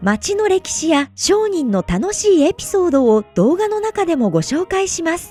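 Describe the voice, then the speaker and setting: Over music in the background, a woman speaks at an extremely high pitch with very wide pitch swings and a fairly slow pace, the sound dry and close with no echo. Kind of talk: tourism promotional narration.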